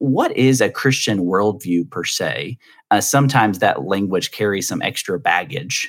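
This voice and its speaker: A man's unremarkable speaking voice moves at a moderate pace, its pitch rising and falling in an ordinary way. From US South. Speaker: podcast host. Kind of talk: interview conversation.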